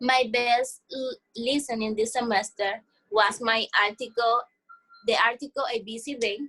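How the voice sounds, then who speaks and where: Speaking at a fairly slow pace, a woman with a fairly high pitch and a bright, sharp tone keeps her intonation fairly even. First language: not English. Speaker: ESL student. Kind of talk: mock exit interview. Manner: halting.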